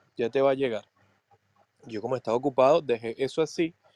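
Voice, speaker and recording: Dark and mellow in tone, a man speaks at a medium pitch with ordinary pitch variation. The sound is dry and close with no echo. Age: 20s. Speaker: podcast co-host. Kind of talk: casual chat. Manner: halting.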